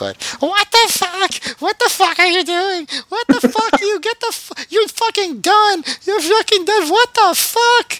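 In a put-on character voice at an extremely high pitch, the speaker talks quietly at a fairly slow pace. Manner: shrieking, angry.

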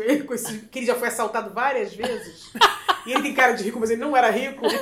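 Amid noticeable background noise and audible room echo, a woman talks at a very fast pace with a high pitch. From Rio de Janeiro, Zona Norte suburbs. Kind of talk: casual interview, storytelling.

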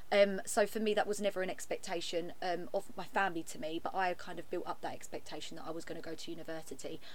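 Over noticeable background noise, a woman talks very fast with hardly any pauses, her medium pitch showing ordinary variation. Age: 20s. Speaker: podcast co-host. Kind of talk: casual chat. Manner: loud.

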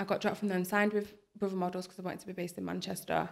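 A woman with a Lancashire accent speaks at medium pitch in a monotone, flat intonation. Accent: Bolton. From Bolton, northern England. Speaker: curve model. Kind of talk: podcast interview.

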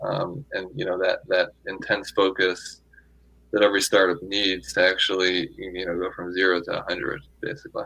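At a moderate pace, the talking carries over noticeable background noise. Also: man. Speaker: tech executive and angel investor. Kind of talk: interview. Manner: filler-heavy, repetitive speech.

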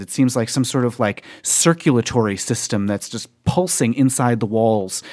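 A man speaks in a normal speaking voice at medium pitch with ordinary pitch variation, on a very clean recording with a silent background. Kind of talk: ghost story telling. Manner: vivid, immersive second-person narration, building tension with repeated phrases.

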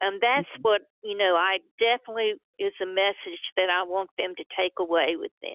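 A plain, everyday voice at a moderate pace, with ordinary pitch variation and hardly any pauses. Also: woman, medium pitch for a woman. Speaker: author and pharmacist. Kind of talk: interview.

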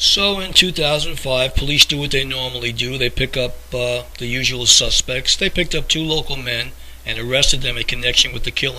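Noticeable background noise sits behind a man talking at a moderate pace. His pitch is medium and varies in an ordinary way. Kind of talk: true-crime narration. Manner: measured, earnest storyteller pace, conspiratorial undertone; plainly informative, somewhat formal, reading-like.

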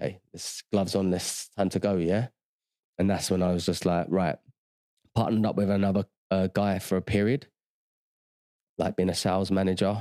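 A very deep, low-pitched male voice with a dark, mellow tone and a London accent, monotone and flat, at a moderate pace with long, frequent pauses. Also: dry, close sound with no echo, very clean recording, silent background. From South London. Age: 40s. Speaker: former footballer turned agency owner. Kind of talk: casual interview chat.

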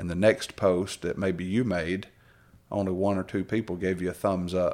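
Over a very clean recording with a silent background, a man with a Southern US accent speaks at a moderate pace in a very deep, low pitch with monotone, flat intonation. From Alabama. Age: 40s. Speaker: preacher. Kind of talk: casual chat.

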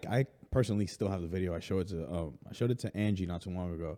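A man with an American accent speaks very fast in a low, dark, mellow voice with ordinary pitch variation, on a very clean recording with a silent background.

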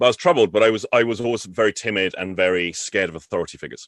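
Recorded dry and close with no echo over a quiet background, a man speaks with an English accent. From England. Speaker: NLP trainer. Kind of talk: casual chat. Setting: call.

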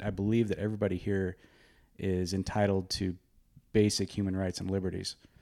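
On a very clean recording with a silent background, a man with an American accent speaks in a dark, mellow tone at a moderate pace, with fairly even intonation. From Oregon. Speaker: charitable giving manager and military veteran. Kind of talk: casual chat.

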